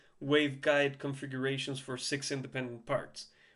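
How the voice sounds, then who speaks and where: A man with a non-native accent against a quiet background. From Chile. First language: Spanish. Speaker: music gear tutorial creator. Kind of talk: tutorial. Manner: halting, many fillers and repeats; casual.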